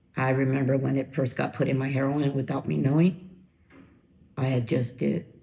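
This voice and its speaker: A woman speaks at a very deep, low pitch with vocal fry. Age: 50s. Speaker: former drug user sharing her recovery story. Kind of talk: interview testimony.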